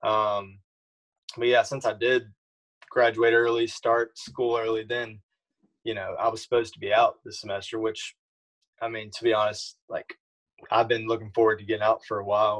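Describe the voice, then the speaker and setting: A man speaks at a moderate pace in a monotone, flat intonation. His delivery has long, frequent pauses. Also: quiet background. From Louisiana. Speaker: college golfer. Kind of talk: casual interview. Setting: video call. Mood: relaxed, casual. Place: home room. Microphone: video call.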